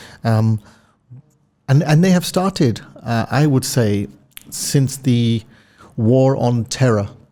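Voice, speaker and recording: Speaking very slowly with long, frequent pauses, a man with a London accent has a dark, mellow tone and ordinary pitch variation. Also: medium pitch for a man, very even loudness. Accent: British, London. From London, England. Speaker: telecom executive. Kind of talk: podcast interview.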